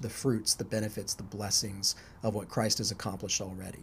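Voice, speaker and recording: Somewhat breathy man's voice, fairly low in pitch, with fairly even intonation. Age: 30s. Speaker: podcast host, university staff. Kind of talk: casual chat.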